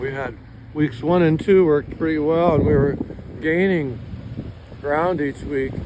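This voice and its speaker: Noticeable background noise accompanies a man's fairly high voice as he speaks fairly slowly with long, frequent pauses. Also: fairly even intonation. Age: 60s. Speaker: gold miner. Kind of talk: casual talk to camera. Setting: outdoors.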